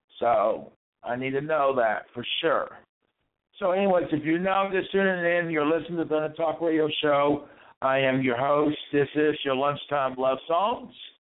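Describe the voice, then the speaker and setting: At a moderate pace, this voice with an American accent shows ordinary pitch variation. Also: man. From West Virginia. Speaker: online radio host. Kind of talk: radio DJ patter. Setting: online radio show. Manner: repetitive, plain, friendly sign-on and sign-off patter; rambling, halting, filler-heavy.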